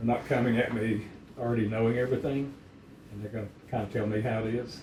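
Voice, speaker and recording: In a room with audible echo, a man rattles off words at a very fast pace in a medium-pitched, monotone voice with flat intonation. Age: 70s. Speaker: dog breeder. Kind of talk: casual chat.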